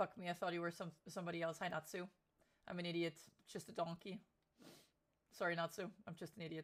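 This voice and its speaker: Somewhat breathy, a woman talks at a very fast pace with long, frequent pauses, her fairly low voice monotone and flat. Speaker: streamer. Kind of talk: casual chat. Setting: live stream.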